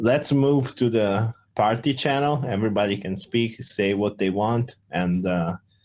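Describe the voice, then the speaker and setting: The voice carries an Italian accent with ordinary pitch variation. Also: man, medium pitch for a man, hardly any pauses, very clean recording, silent background. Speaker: crypto project founder. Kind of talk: community Q&A voice chat. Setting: Discord voice call.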